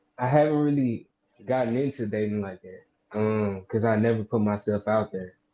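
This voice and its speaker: A man with a Southern US accent speaks at a moderate pace in a dark, mellow tone. His pitch varies in an ordinary way while his loudness swings a lot. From Mississippi. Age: 20s. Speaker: caller. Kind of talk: casual chat. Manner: halting.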